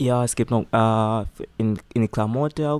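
A man speaks at a very slow pace with a medium pitch. His intonation stays fairly even on a very clean recording with a silent background. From Tanzania. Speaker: volunteer nursing assistant. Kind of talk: interview. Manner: halting.

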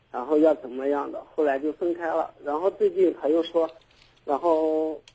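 At a moderate pace, a man speaks in a plain, everyday voice, fairly high in pitch, with fairly even intonation. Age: 30s. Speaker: caller. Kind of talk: call-in advice talk.

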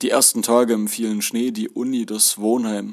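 At a moderate pace, a man of medium pitch speaks in a flat monotone. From Germany. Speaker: author narrating his experiences as an exchange student. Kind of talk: reading aloud of a first-person travel memoir.

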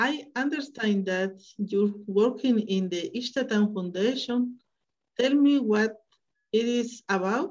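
At a very slow pace, a woman with a Spanish accent speaks in a somewhat breathy, fairly high voice with ordinary pitch variation. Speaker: interviewer. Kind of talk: interview.

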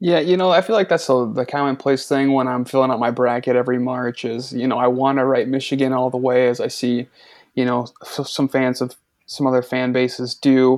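At a fairly quick pace, a man with a medium pitch speaks with fairly even intonation. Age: 20s. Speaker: sports podcast guest, college football fan. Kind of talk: casual chat.

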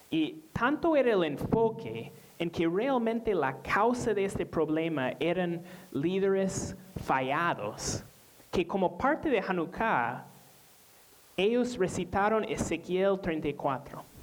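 With a non-native accent, the words are delivered very slowly. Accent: foreign accent in Spanish. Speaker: pastor. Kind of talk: sermon. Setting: church. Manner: halting, frequent repetitions and fillers.

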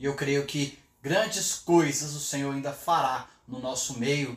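Noticeable background noise accompanies someone speaking at a very slow pace. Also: man. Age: 50s. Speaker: pastor. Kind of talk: sermon. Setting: home office, livestream.

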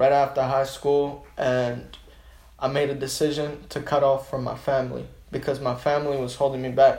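Somewhat breathy and fairly high for a man, his monotone, flat delivery comes at a moderate pace with audible room echo. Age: 20s. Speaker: small business owner. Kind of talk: casual chat.

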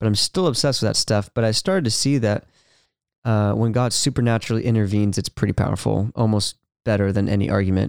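Speaking at a very fast pace with a Californian accent, a man with a fairly low pitch comes through on a very clean recording with a silent background. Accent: Californian American. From California, Ventura. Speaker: worship leader and speaker. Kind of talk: casual interview. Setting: podcast studio.

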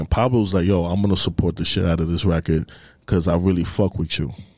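A man with a New York accent speaks at a fairly quick pace in a very deep, low voice, recorded very cleanly against a silent background. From New York, the Bronx. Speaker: music industry marketing executive. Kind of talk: casual chat.

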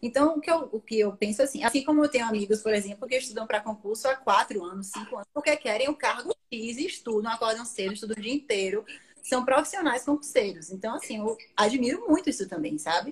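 With lively intonation, a woman talks at a very fast pace in a fairly high voice. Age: 20s. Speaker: marketing professional and career-change guest. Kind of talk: interview about career change.

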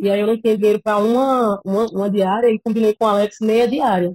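Fairly high-pitched, a woman talks at a very fast pace with fairly even intonation. The sound is dry and close, with no echo. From Pernambuco, Brazil (Cabo de Santo Agostinho). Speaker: filmmaker. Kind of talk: casual interview.

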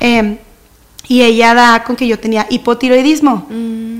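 In a northern Mexican accent, a woman speaks at a moderate pace with a fairly high pitch. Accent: northern Mexican (regio) Spanish. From Mexico, Monterrey. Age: 30s. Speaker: church leader and singer. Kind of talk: casual chat. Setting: studio.

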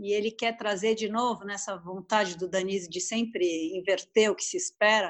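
The speaker uses an ordinary speaking voice. Delivery is at a moderate pace. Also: woman. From São Paulo, Brazil. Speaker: literary translator and French teacher. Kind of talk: casual interview.

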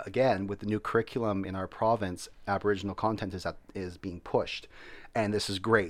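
Here is a man with a Canadian accent and an ordinary speaking voice, pitched fairly low. His intonation is fairly even and his pace moderate. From Canada. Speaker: teacher. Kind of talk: casual chat.

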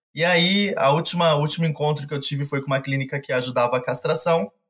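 With a plain, everyday voice, a man talks at a fairly quick pace and fairly high pitch, keeping his intonation fairly even. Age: 30s. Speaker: animal rescuer. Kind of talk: casual chat.

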